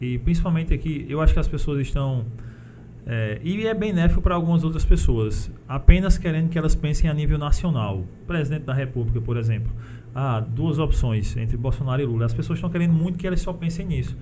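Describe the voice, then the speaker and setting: A man talks at a fairly quick pace with lively intonation. Audible room echo surrounds his voice. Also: fairly high pitch for a man. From sertão of Paraíba, Brazil. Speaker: podcast host. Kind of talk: casual interview. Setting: studio.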